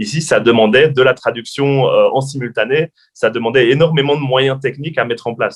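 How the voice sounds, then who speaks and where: Fairly quick speech from a man, medium in pitch. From French-speaking Belgium. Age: young. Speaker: journalist and TV presenter. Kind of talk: interview. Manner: hesitant, many fillers.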